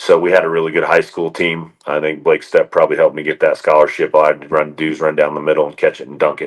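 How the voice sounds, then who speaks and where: Speaking at a very fast pace, the male speaker is heard through noticeable background noise. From Indiana, with teen years in Oregon. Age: 40s. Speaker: college basketball assistant coach. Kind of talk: podcast interview.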